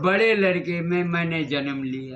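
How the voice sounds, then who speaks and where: This man's voice sits high in pitch. The rise and fall of it is ordinary. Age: 80s+. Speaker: wandering ascetic. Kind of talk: interview.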